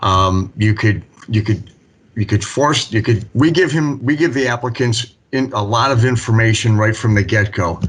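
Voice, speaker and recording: Somewhat breathy, a man talks at medium pitch and a moderate pace. His loudness stays very even and his pitch varies in an ordinary way. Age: 60s. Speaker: municipal building official. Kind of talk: public meeting discussion. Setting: city board meeting.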